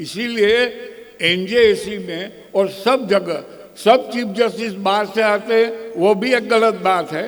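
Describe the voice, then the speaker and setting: With a Gujarati accent, a man speaks very slowly in a high voice with fairly even intonation, and audible room echo surrounds him. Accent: Gujarati-accented Hindi. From Gujarat, India. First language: Gujarati (speaking Hindi). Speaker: senior lawyer. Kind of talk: conference speech. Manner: halting.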